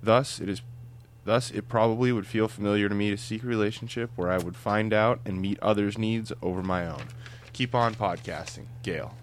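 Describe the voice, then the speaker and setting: This man has an unremarkable speaking voice with fairly low pitch and fairly even intonation. He speaks at a moderate pace. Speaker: podcast co-host. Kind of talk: casual chat.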